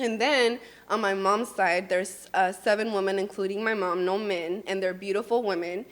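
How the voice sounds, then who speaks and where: Her pitch medium and her intonation fairly even, a woman speaks at a moderate pace with a Spanish accent. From California, Mexican American. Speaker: beauty business owner and coach, podcast host. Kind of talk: casual interview chat.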